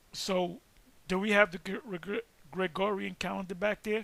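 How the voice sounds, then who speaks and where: Using a put-on character voice, a man speaks in a high, raspy tone with monotone, flat intonation at a moderate pace. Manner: stuttering.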